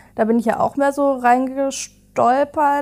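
With a dark, mellow tone, a woman talks at a very slow speed. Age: 20s. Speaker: digitalization officer at care company. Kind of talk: casual interview. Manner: hesitant, many fillers.

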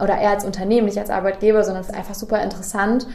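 The intonation stays fairly even. Audible echo from the room surrounds the voice. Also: woman. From Germany, Göttingen area. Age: 20s. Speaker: recruiter. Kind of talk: interview. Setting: on-site at company, noisy venue nearby.

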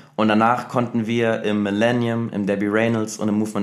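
A man's voice sits fairly low in pitch. He speaks at a very fast pace with monotone, flat intonation. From Germany, Saarland. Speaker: dancer. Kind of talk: casual chat.

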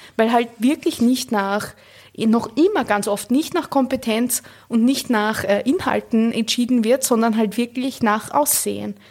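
A woman speaks at a fairly slow pace in a plain, everyday voice, pitched fairly high. Her pitch variation is ordinary, and her loudness stays very even. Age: 30s. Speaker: cultural studies scholar and author. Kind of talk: interview.

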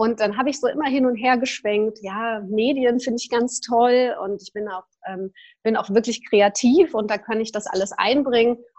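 In an ordinary speaking voice, a woman with a fairly high pitch talks at a moderate pace with ordinary pitch variation and big swings in loudness against a quiet background. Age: 40s. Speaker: yoga teacher and personal development coach. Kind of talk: casual interview.

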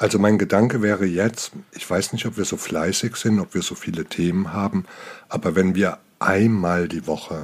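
This man speaks with a very deep, low pitch. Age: 50s. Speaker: dance judge and coach, podcast co-host. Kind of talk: casual chat.

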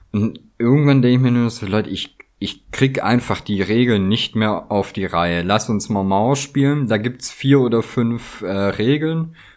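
An unremarkable speaking voice talks with hardly any pauses and ordinary pitch variation. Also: man, medium pitch for a man, fairly slow pace. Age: 30s. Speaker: craftsman. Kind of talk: casual chat.

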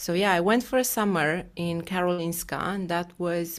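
A speaker with a Romanian accent talks at a fairly slow pace with fairly even intonation. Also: woman. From Romania, Bucharest. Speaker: paediatric gastroenterologist. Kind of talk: interview. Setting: video call.

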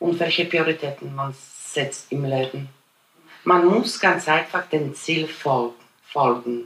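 A woman's very deep, low voice with a Polish accent, very slow pace and ordinary pitch variation. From Poland. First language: Polish (speaking German). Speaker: immigrant interviewee. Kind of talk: personal storytelling interview. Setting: at her home.

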